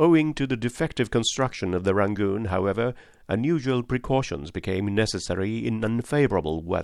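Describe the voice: With lively intonation, someone does plain reading aloud.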